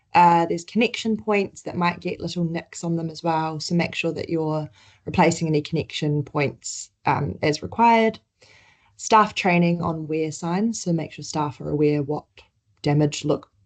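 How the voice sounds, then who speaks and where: A woman with a New Zealand accent, fairly low in pitch, at a moderate pace with ordinary pitch variation. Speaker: healthcare sustainability presenter. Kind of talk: webinar presentation.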